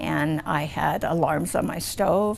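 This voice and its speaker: The speaker is a woman. She talks with a Western US accent. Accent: American, western US. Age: 70s. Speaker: multiple sclerosis patient. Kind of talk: testimony. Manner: animated.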